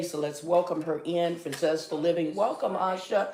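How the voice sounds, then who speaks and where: A woman talks at a fairly low pitch. Audible room echo and noticeable background noise surround her voice. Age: 60s. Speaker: morning show host and life coach. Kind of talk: casual chat.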